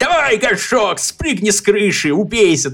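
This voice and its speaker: A man talks at a moderate pace. He uses a put-on character voice pitched high. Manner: malicious, urging.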